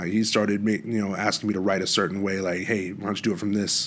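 In an American accent, a man with a fairly low pitch talks at a fairly quick pace in a monotone, flat intonation. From Washington State, US. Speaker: musician. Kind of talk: casual chat.

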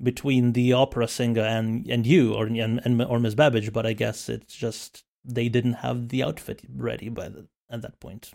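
With a plain, everyday voice, a man speaks at a medium pitch and a moderate pace, his intonation fairly even and his loudness swinging widely. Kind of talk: casual chat. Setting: video call.

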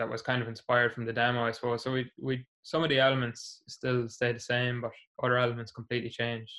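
A man with a Meath Irish accent, medium pitch and a fairly quick pace. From Ireland, Navan (County Meath). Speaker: musician and primary school teacher. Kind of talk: casual interview.

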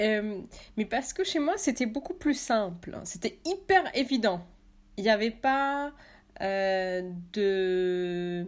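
A woman's fairly high voice with lively intonation, a very slow pace and long, frequent pauses, on a very clean recording against a silent background. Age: 30s. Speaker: artist and author. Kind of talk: interview.

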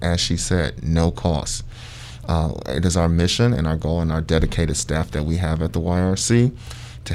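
Over noticeable background noise, a man with an American accent speaks at a very deep, low pitch with ordinary pitch variation. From Ohio, Sandusky. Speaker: youth program manager. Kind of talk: radio interview. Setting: radio studio.

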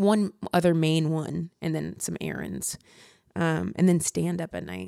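A woman with an American accent and an ordinary speaking voice at a moderate pace, ordinary pitch variation and a very clean recording with a silent background. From Ohio. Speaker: stand-up comedian. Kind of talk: casual interview chat.

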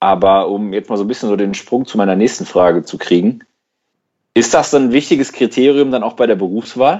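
A man with a normal speaking voice talks at a fairly quick pace and medium pitch, with ordinary pitch variation. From Germany, Schwelm (Ruhr area, NRW). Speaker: podcast host. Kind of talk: casual chat.

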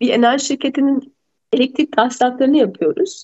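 A woman's high voice races at a very fast pace with lively intonation. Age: 40s. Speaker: lawyer and mediator. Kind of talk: radio interview.

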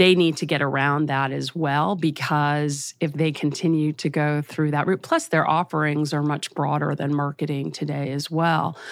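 On a very clean recording with a silent background, a woman with a Californian accent speaks in monotone, flat intonation at a very deep, low pitch, at a moderate pace with hardly any pauses. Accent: General American, Californian. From US West Coast, Los Angeles. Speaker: advertising trade association executive. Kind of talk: interview.

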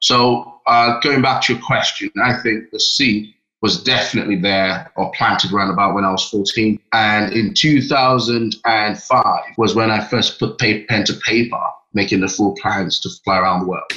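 Music plays in the background as a man talks. His pace is moderate and his pitch varies in an ordinary way. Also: medium pitch for a man. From Nigeria. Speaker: pilot and aviator. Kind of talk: interview.

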